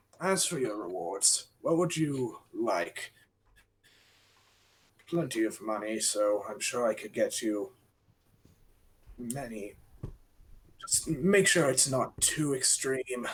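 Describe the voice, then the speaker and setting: Using a put-on character voice, a man at a medium pitch speaks at a fairly slow pace with lively intonation and long, frequent pauses. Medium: actual play.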